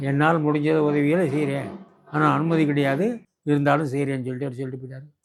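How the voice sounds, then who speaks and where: Heard with audible room echo, a man with a fairly high pitch and fairly even intonation shows big swings in loudness. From Burma. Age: 80s+. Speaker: war veteran. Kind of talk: interview storytelling. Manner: halting.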